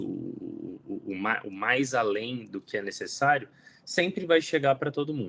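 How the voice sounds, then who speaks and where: A man with a Brazilian accent speaks at a moderate pace with lively intonation. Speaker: climate program lead. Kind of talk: presentation.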